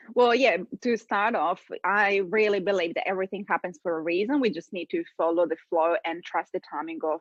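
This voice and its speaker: In an Italian accent, a woman with a medium-pitched voice speaks at a moderate pace with ordinary pitch variation, her dry, close sound with no echo set against a quiet background. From Italy, small city. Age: 30s. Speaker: business coach. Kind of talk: podcast interview.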